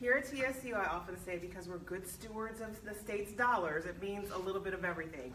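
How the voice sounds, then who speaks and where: With hardly any pauses, a woman speaks very fast at a medium pitch with ordinary pitch variation, amid audible room echo and noticeable background noise. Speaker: university vice president, former news anchor. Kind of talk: speech to alumni meeting. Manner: loud.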